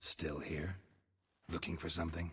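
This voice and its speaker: At a moderate pace, a man puts on a raspy character voice pitched very deep and low. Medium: video game. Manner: terse, deadpan.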